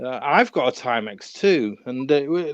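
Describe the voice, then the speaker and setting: A voice with a northern English accent swings very widely in pitch, recorded dry and close with no echo against a quiet background. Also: man. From northern England. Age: 40s. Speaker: watch collector. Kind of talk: casual interview. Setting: live stream. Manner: halting.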